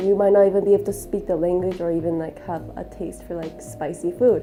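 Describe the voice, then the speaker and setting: With an American accent, a woman speaks at a fairly quick pace with big swings in loudness, music in the background and audible room echo. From Colorado, US (moved from Korea at age one). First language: Korean (forgotten, now English). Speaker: student interviewee. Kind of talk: interview testimony.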